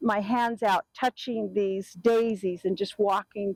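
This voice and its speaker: A woman's voice with ordinary pitch variation, recorded dry and close with no echo. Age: 70s. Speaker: traveler interviewed about outdoor trips. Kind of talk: casual interview. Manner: animated.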